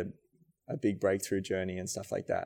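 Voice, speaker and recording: Speaking in an Australian accent, a man uses a fairly low pitch. The recording is very clean, with a silent background. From rural New South Wales, Australia. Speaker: dancer and choreographer. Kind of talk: casual interview chat.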